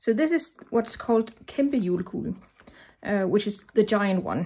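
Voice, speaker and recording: A somewhat breathy woman's voice of medium pitch, at a moderate pace. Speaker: craft tutorial presenter. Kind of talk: tutorial. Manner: hesitant, many fillers.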